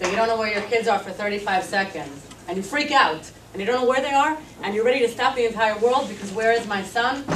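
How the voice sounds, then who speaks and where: Amid noticeable background noise and audible room echo, a woman with a fairly high pitch talks at a very fast pace with ordinary pitch variation. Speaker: activist. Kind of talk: speech.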